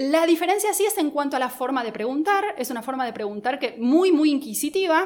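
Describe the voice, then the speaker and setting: Here a woman talks with a high pitch and lively intonation. She leaves hardly any pauses. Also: fairly quick pace. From Argentina, Buenos Aires. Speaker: lawyer. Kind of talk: casual interview. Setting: studio.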